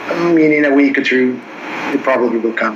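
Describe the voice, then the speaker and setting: A man's fairly high voice moves at a moderate speed with ordinary pitch movement, while background noise and room echo are both clearly audible. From southern Sweden, Helsingborg. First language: Swedish. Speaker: country singer. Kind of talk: casual chat.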